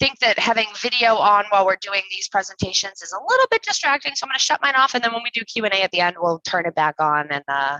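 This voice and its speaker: A woman with an American accent speaks at a very fast pace with hardly any pauses, her medium-pitched voice making very wide pitch swings. The sound is dry and close, with no echo. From New England. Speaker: cybersecurity company success manager. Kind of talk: webinar presentation. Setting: live webinar video call.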